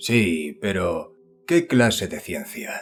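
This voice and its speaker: Raspy and very slow, a man does a put-on character voice at a medium pitch. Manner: sarcastic.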